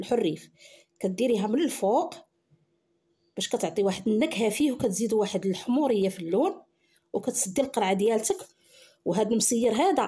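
A woman with a Moroccan accent, a fairly high pitch, and a dark, mellow, somewhat breathy tone, with lively intonation, a moderate pace, and long, frequent pauses. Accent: Moroccan Arabic (Darija). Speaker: cooking channel host. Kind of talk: cooking tutorial.

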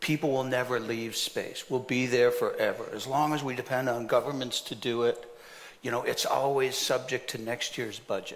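The speaker keeps a moderate pace with monotone, flat intonation. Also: man. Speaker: panelist. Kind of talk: panel discussion answer. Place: stage.

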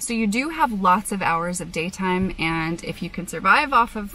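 Faint music plays in the background. A woman speaks, with a dry sound and no echo. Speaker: travel vlogger. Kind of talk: casual vlog chat. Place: car. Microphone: phone near.

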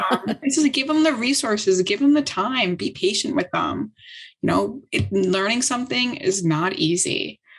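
A woman talks at a moderate pace with a fairly high pitch, very wide pitch swings and vocal fry. The background is quiet. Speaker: tech startup co-founder; guest. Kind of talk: interview conversation. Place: home room. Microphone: video call.

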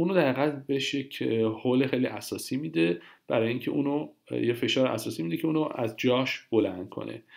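With vocal fry and lively intonation, a man talks at a very fast pace. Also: medium pitch for a man. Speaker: Italian language teacher. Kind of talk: tutorial.

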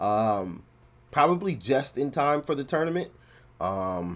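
A man talks at a fairly slow pace, and his pitch swings very widely. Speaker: reaction video creator. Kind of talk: casual reaction commentary. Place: home room. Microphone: earbuds.

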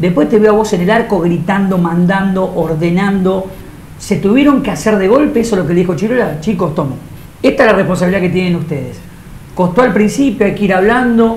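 With a Rioplatense accent, a man talks at a high pitch and a fairly quick pace, using ordinary pitch variation. Audible room echo and light background noise are present. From Argentina, La Plata area. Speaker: TV show host. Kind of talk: casual interview. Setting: football stadium. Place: studio.

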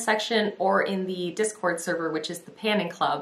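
A woman talks at a fairly quick pace. Audible room echo surrounds her voice. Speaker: beauty vlogger. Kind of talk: casual vlog chat. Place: home room.

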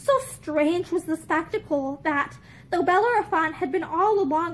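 At a moderate pace, a woman speaks in a gentle tone with an extremely high pitch and lively intonation. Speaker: video reader. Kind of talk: reading aloud a classic fairy-tale style story, storybook narration. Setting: video recorded at home with bookshelves. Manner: measured, gentle, old-fashioned storybook pacing. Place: home room. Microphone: phone near.

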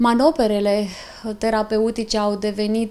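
A woman is speaking. Her pace is fairly slow. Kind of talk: interview answer. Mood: calm, reassuring. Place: office.

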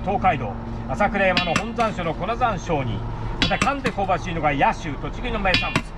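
Over loud background noise, a man's words come at a fairly quick pace. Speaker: shop master selling blended seven-spice chili pepper. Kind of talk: traditional sales patter (kōjō) at a spice shop. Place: market. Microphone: camera far.

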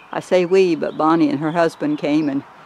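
A man talks at a moderate pace with light background noise, the sound dry with no echo. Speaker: home vlogger. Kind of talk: casual vlog chat. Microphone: phone near.

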